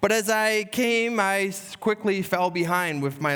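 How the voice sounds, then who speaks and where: Lively intonation runs through a man's voice. He speaks at a fairly slow pace. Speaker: pastor. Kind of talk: sermon.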